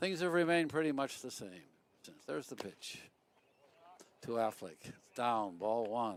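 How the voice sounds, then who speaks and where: Speaking at a moderate pace and medium pitch, an American-accented man makes very wide pitch swings and big swings in loudness, with long, frequent pauses. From US Midwest, Chicago south side. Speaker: baseball commentator. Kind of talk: live commentary.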